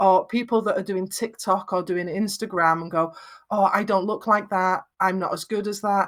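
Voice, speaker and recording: Here a woman speaks with a Lancashire accent. The recording is very clean, with a silent background. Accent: Lancashire, flat vowels. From northwest England, Lancashire. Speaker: video production expert. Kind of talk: interview.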